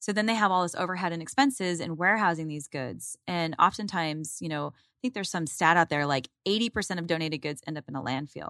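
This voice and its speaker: A woman with an American accent speaks very fast with hardly any pauses, her pitch fairly low and her pitch variation ordinary, in a bright, sharp tone. The sound is dry and close with no echo, and the recording is very clean with a silent background. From Arizona, Phoenix area. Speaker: company executive. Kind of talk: interview. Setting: studio.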